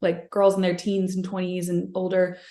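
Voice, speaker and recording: A woman with a Californian accent speaks at medium pitch in a dark, mellow tone. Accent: General American (Californian). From California (Sacramento), US West. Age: 30s. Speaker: singer. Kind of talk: interview. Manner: many fillers, hesitant.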